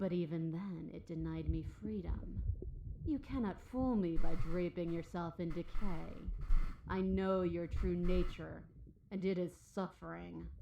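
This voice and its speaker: A growling, put-on character voice at a moderate pace and middle pitch, with clear background noise behind it. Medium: video game. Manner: growling, predatory.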